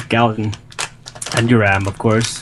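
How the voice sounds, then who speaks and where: Over noticeable background noise, a man speaks at a fairly low pitch. His intonation stays fairly even. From Sweden. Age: 20s. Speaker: gaming clan officer. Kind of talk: casual chat.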